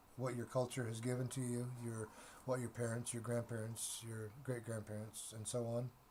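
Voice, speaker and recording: A man speaks at a moderate pace in a medium pitch, his voice somewhat breathy and his intonation monotone and flat. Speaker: tarot reader. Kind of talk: tarot reading monologue. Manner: halting, many repetitions and fillers.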